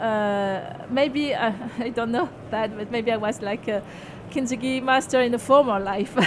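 A woman with a French accent, fairly high pitch, fairly even intonation and a moderate pace. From France. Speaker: self-help author. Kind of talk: interview. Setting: radio studio at a book fair.

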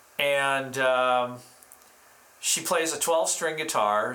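A man with a medium pitch speaks at a very slow pace in a bright, sharp tone. Room echo is audible. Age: 50s. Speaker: musician and live-stream host. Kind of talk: casual chat.

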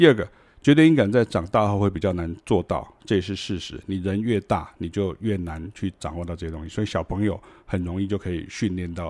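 On a very clean recording with a silent background, a man with a very deep, low pitch speaks fairly quickly with ordinary pitch variation. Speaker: music teacher. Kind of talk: casual lecture. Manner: conversational.

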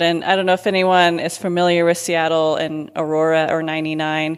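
Here a woman speaks with an American accent. Her fairly low voice stays monotone and flat. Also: very clean recording, silent background. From Kenya and US. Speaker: church planter. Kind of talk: interview.

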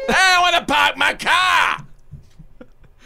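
The man is doing a put-on character voice. It sits at an extremely high pitch.

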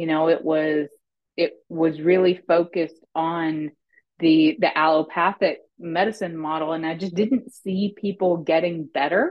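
A woman speaks in a normal speaking voice with an American accent. Her fairly low pitch holds fairly even intonation at a fairly slow pace. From US South, small-town Arkansas. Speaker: pharmacist and business consultant. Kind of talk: interview.

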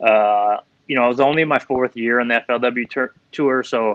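Speaking with an Upper Midwest accent, a man has a medium pitch. His intonation is monotone and flat. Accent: Upper Midwest American. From Minnesota. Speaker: professional angler and fishing guide. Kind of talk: casual interview.

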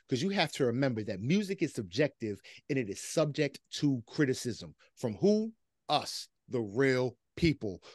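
Pitch swings very widely at a moderate pace. The background is quiet, and the sound is dry and close with no echo. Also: man, medium pitch for a man. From US Northeast, near Philadelphia. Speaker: hip hop podcast host. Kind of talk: casual chat.

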